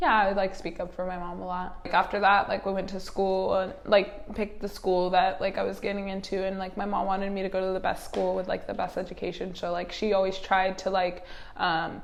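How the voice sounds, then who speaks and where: A woman with a Californian accent talks at a fairly quick pace with hardly any pauses and monotone, flat intonation, over noticeable background noise and audible room echo. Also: medium pitch for a woman. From Los Angeles, California. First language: American Sign Language. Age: 20s. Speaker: interviewee sharing personal story. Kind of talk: interview. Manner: casual, many fillers.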